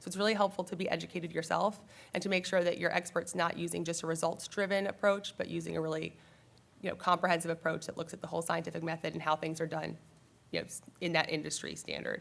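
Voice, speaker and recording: A woman talks at a very fast pace, fairly low in pitch and with vocal fry. Her intonation is monotone and flat, on a very clean recording with a silent background. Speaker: trial attorney. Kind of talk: panel presentation.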